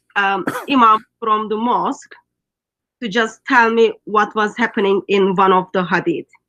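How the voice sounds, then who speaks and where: In a Turkish accent, a woman speaks at a fairly slow pace with ordinary pitch variation. Her voice is fairly high, bright and sharp. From Turkey. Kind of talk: casual online interview. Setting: skype call. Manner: hesitant, many fillers.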